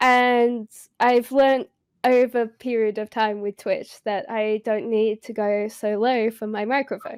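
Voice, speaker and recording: An unremarkable speaking voice from a woman, fairly high in pitch with fairly even intonation. The sound is dry and close with no echo, on a very clean recording with a silent background. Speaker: streamer. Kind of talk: casual chat.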